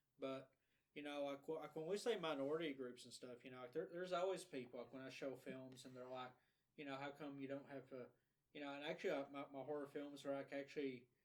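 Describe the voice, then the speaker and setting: A man with an Appalachian accent, very fast pace and fairly even intonation. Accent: Appalachian Southern US. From Eastern Kentucky (Letcher County). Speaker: podcast co-host and independent filmmaker. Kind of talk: casual podcast conversation. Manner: halting with many repetitions.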